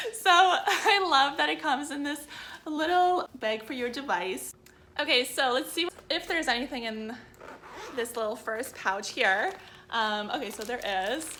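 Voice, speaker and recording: Her voice raised and projected, a woman speaks at a fairly slow pace in a high pitch with very wide pitch swings. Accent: slight Canadian. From Canada. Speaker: biohacking vlogger. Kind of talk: product unboxing video. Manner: animated.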